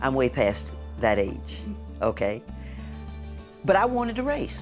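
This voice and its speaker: A woman's speech comes very slowly while music plays behind her. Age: 70s. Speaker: BMX racer; teacher and coach. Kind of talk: interview answer.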